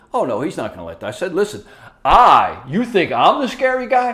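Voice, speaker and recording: A man speaks loudly at a fairly quick pace. His tone is animated. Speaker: former prison inmate. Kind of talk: casual chat. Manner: loud and boisterous.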